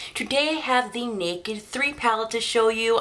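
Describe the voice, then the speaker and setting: With noticeable background noise behind her, a woman talks fairly quickly at a fairly high pitch. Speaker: beauty vlogger. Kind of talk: product review. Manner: chatty, upbeat.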